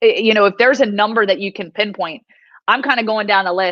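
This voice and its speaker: A loud woman of medium pitch with an American accent speaks at a very fast pace in a bright, sharp, animated tone, dry and close with no echo against a quiet background. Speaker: sports reporter. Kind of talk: casual sports preview chat.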